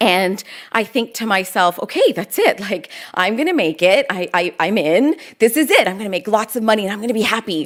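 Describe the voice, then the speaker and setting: Speaking at a fairly quick pace with a Canadian accent, a woman has an unremarkable speaking voice at a medium pitch. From Canada, Toronto. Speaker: lawyer and public speaker. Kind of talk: keynote talk. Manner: conversational.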